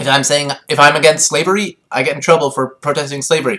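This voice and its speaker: A man speaks with a bright, sharp tone. His pace is fairly quick. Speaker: vlogger. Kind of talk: casual rant to camera. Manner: hesitant, many fillers.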